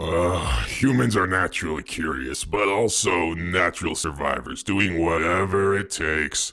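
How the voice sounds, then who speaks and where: A man's put-on character voice, very deep and low, at a moderate pace over light background noise. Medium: audio drama. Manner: casual, conversational.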